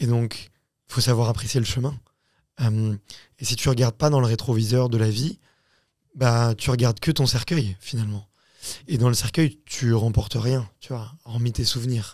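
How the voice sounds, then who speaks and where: A man speaks at a fairly slow pace, somewhat breathy, with fairly even intonation and long, frequent pauses. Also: very clean recording, silent background. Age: 30s. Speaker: podcast host and founder. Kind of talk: casual chat. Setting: studio.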